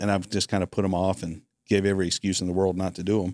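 In a very clean recording with a silent background, a man with an ordinary speaking voice talks at a fairly quick pace and a fairly low pitch, the sound dry and close with no echo. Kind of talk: casual chat.

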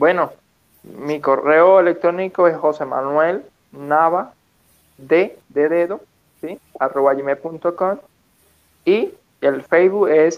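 Speaking at a very slow pace, a man uses fairly even intonation and a fairly high pitch. His speech has long, frequent pauses. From Venezuela, Petare (Caracas). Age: 20s. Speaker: physical education teacher and motivational speaker. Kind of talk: interview.

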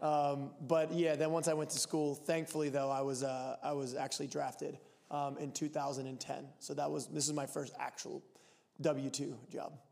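A man with an American accent, fairly high-pitched, monotone and flat, at a moderate pace. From Pennsylvania (Lancaster). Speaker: professional soccer player. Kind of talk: casual chat.

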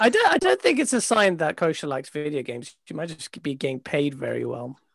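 A man at a fairly quick pace with big swings in loudness. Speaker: podcast panelist. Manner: playful, joking.

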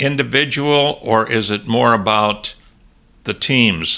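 A man's bright, sharp voice at a very slow pace on a very clean recording with a silent background. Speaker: podcast host. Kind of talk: interview. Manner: hesitant, many filler sounds.

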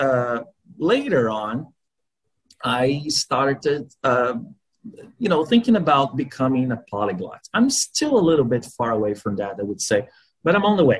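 A man with a Portuguese accent, fairly high-pitched, pitch swinging very widely, with long, frequent pauses. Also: fairly slow pace. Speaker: language learner. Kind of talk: interview. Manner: halting.

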